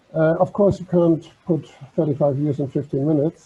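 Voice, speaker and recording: With a German accent, a man speaks in fairly even intonation. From Germany. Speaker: maritime heritage organisation vice president. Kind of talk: online talk presentation.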